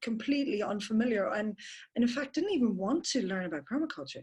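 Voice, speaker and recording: Her fairly high voice is somewhat breathy, and this woman speaks with an Irish accent and lively intonation. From Ireland. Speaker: permaculture teacher. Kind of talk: webinar talk. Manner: fast.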